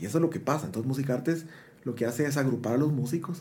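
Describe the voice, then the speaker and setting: Somewhat breathy and dark, mellow in tone, a man speaks at a very fast pace with ordinary pitch variation, and audible room echo surrounds him. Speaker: musician. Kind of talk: interview.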